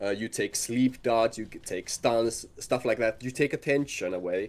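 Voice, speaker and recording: A man's medium-pitched voice with ordinary pitch variation at a moderate pace. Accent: non-native. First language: not English. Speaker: video game coach. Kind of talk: coaching session. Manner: halting.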